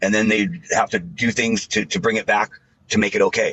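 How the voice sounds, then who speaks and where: Moderate pace, ordinary pitch variation and medium pitch from a man with an American accent. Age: 60s. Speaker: anti-vaccine debater. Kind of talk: debate. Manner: halting.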